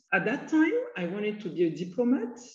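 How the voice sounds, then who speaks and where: Audible room echo surrounds a woman as she speaks. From Cote d'Ivoire. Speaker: energy executive. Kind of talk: interview.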